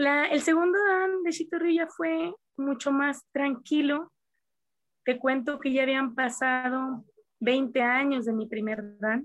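A very slow pace with ordinary pitch variation. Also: woman. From Mexico, Coahuila. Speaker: karate teacher. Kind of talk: interview.

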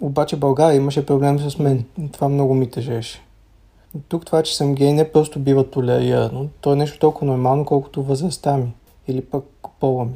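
Somewhat breathy and dark, mellow in tone, a man with a fairly high pitch speaks at a fairly quick pace in a monotone, flat intonation. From Bulgaria. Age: 30s. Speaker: student, former LGBT activist. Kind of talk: recorded interview answers.

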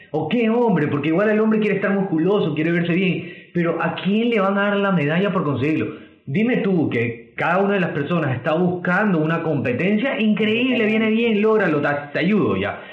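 Speaking at a fairly quick pace with lively intonation, a man with a high-pitched voice keeps his loudness very even while noticeable background noise and audible room echo fill the recording. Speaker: nutritionist podcast host. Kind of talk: casual chat. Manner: stuttering when excited.

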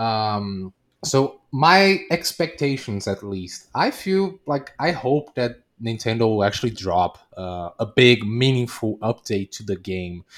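Very wide pitch swings mark this very slow speech in a Portuguese accent, captured in a very clean recording with a silent background. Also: man, medium pitch for a man. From Brazil. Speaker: Twitch streamer. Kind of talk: casual interview.

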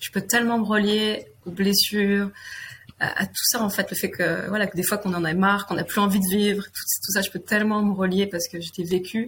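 Flat and monotone, a woman's delivery moves along fairly quickly. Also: medium pitch for a woman. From France, Limousin (near Limoges). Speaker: guest sharing personal story, women's circle facilitator. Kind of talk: personal testimony interview. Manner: halting, hesitant with repetitions.

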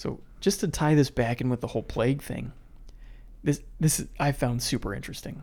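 A man with an American accent, vocal fry, a dark, mellow tone and ordinary pitch variation, on a very clean recording over a silent background. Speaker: podcast co-host. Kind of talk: casual chat and history storytelling.

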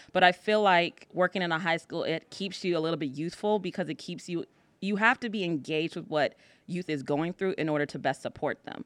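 Fairly quick in pace, a woman with an American accent and a plain, everyday voice speaks at a fairly low pitch with ordinary pitch variation, in a dry, close sound with no echo on a very clean recording with a silent background. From US, northern Virginia. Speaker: high school counselor. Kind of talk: casual interview.

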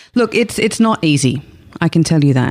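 The voice has an Australian accent, recorded with a dry, close sound with no echo. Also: woman. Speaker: sex therapist. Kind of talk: interview. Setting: studio.

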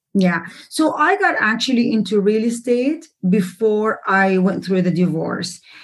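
Speaking with an Arabic accent, the voice is somewhat breathy. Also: woman, fairly high pitch for a woman, lively intonation, fairly slow pace. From Jordan. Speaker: real estate investor and author. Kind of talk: interview.

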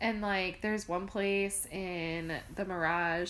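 With audible room echo, a woman of medium pitch speaks at a fairly slow pace with ordinary pitch variation. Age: 20s. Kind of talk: casual chat.

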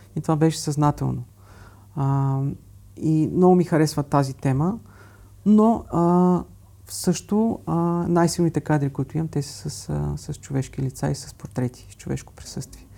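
A man with a fairly high pitch and a dark, mellow, somewhat breathy tone, ordinary pitch variation, at a fairly slow pace. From Bulgaria. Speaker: architect and travel photographer. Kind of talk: interview. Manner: halting.

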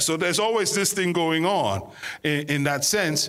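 With a bright, sharp tone and high pitch, a man speaks at a fairly slow pace with ordinary pitch variation and audible room echo. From Ghana. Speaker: guest pastor. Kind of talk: sermon.

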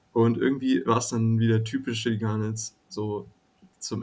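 Monotone, flat intonation from a man at a medium pitch and moderate pace, on a very clean recording with a silent background. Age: 20s. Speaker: student, fan community guest. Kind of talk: casual chat.

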